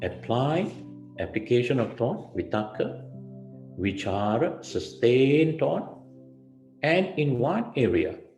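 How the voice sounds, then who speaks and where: Over music in the background and audible room echo, a man speaks at a very slow pace with long, frequent pauses and very even loudness. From Malaysia, Melaka. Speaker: Buddhist monk. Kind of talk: dharma talk.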